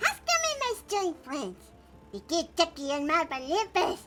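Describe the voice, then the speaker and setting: Over loud background noise, a woman uses a put-on character voice at an extremely high pitch. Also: moderate pace. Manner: playful, strange.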